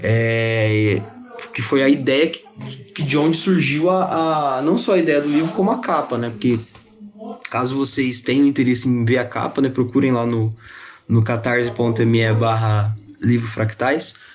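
A man at medium pitch, at a fairly slow pace with long, frequent pauses and ordinary pitch variation. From interior São Paulo state, Ribeirão Preto. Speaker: podcast co-host. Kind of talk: casual chat.

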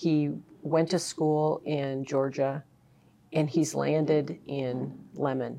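The voice has a dark, mellow tone and flat, monotone intonation, and it moves at a very slow pace. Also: woman, very deep, low pitch for a woman. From South Dakota, Marshall County. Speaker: rural economic development executive. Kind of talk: interview.

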